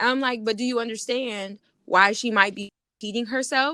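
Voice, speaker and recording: A loud woman with an American accent speaks at a moderate pace in a fairly high, bright, sharp voice with ordinary pitch variation, the sound dry and close with no echo. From New York. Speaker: podcast co-host. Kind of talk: casual argument between co-hosts.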